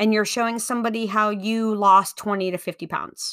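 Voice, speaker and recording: Recorded very cleanly against a silent background, a woman speaks at a moderate pace in a fairly high, bright, sharp voice with fairly even intonation. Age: 40s. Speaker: podcast host and business coach. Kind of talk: solo instructional talk.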